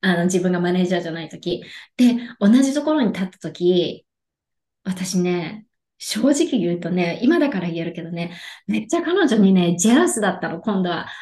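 With lively intonation and a moderate pace, a woman speaks at a medium pitch in a somewhat breathy voice with a dark, mellow tone. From Japan, Yokohama. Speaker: life coach. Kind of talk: casual interview.

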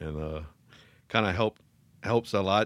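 Over a silent background in a very clean recording, a man with an American accent speaks at a fairly quick pace. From US South, south Louisiana (Thibodaux). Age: 40s. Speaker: law enforcement officer. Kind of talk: testimony.

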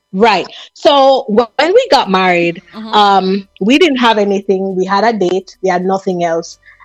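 A woman at a medium pitch and fairly slow pace, with ordinary pitch variation, hardly any pauses, and music in the background. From Jamaica, Kingston. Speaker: motivational speaker. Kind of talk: personal story interview. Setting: phone call.

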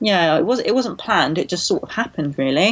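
Spoken at a fairly quick pace in an ordinary speaking voice. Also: woman. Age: 20s. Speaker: bodybuilder and nutrition coach. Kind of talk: interview.

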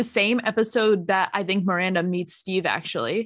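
A woman is speaking. The background is quiet. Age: 20s. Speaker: podcast co-host. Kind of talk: casual chat. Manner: animated.

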